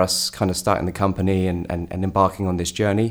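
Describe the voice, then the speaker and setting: A man talks in a British accent at a very fast pace. The recording is very clean, with a silent background. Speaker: startup co-founder and CEO. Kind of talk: podcast interview.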